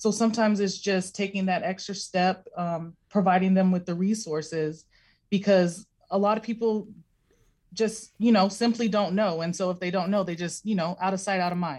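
With a quiet background, a woman speaks at a medium pitch in a somewhat breathy voice and fairly even intonation. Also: moderate pace. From Alaska, East Anchorage. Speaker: clinic community relations director. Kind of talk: radio interview. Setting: video call.

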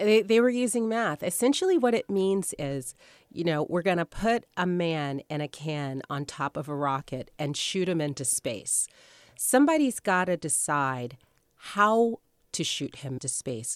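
Over a quiet background, a woman with an American accent talks at a fairly slow pace in a fairly low pitch, with very wide pitch swings and a dry, close sound with no echo. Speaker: author. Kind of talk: radio interview.

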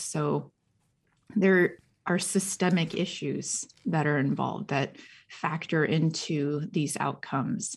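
A woman speaks with a very deep, low pitch, vocal fry and ordinary pitch variation. The recording is very clean, with a silent background. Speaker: professor and researcher. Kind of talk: radio interview.

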